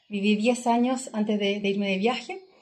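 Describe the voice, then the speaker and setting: Against noticeable background noise, a woman speaks at a fairly slow pace in a fairly high pitch with monotone, flat intonation. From southern Chile (Chillán). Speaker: travel entrepreneur. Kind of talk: casual interview. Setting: in person, recording in Nepal.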